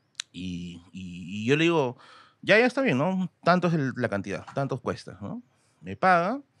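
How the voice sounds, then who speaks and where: Here a man with a fairly high voice speaks at a fairly slow pace, with very wide pitch swings and big swings in loudness. The recording is dry with no echo. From Peru, Tacna; Peru. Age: 30s. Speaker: history content creator. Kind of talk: casual chat. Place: studio. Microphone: studio mic.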